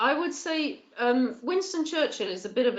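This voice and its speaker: Vocal fry from a woman with a southern English accent at a moderate pace. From England, Bath. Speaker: politician. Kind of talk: webinar discussion.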